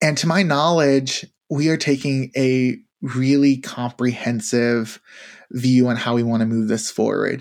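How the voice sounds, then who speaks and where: A man with an American accent speaks fairly slowly at a medium pitch with fairly even intonation. His loudness stays very even on a very clean recording with a silent background. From Tennessee, US South. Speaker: university diversity administrator. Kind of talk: interview conversation. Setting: studio. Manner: halting.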